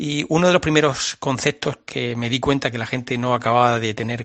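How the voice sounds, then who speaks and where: Speaking at a fairly quick pace, a man uses a medium pitch and fairly even intonation. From Murcia, Spain. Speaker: biologist. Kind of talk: radio interview. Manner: halting, many fillers.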